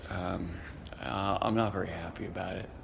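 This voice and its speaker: The pace here is moderate. There is a somewhat breathy quality to the voice. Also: man. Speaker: brewery co-founder and executive chairman. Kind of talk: casual talk to camera.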